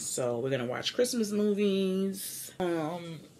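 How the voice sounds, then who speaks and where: A woman's pitch swings very widely. Light background noise is present. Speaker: vlogger. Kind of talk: casual vlog chat. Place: home room. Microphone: camera far.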